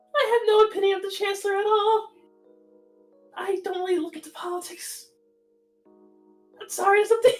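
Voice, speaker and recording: An extremely high, put-on character voice at a fairly quick pace, with long, frequent pauses and faint music in the background. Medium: actual play. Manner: hesitant, rambling.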